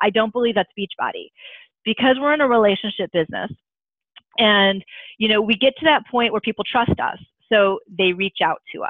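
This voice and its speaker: A woman talks at a fairly high pitch with ordinary pitch variation. Her speech has long, frequent pauses. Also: fairly quick pace. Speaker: social media trainer. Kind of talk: online training call. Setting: video call. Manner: fast.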